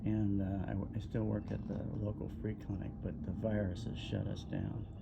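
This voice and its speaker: A man with a very deep, low pitch speaks at a moderate pace with lively intonation and very even loudness. Audible room echo and noticeable background noise fill the recording. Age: 70s. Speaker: retired orthopedic surgeon, website owner. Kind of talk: casual monologue. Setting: outdoors. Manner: halting, many fillers.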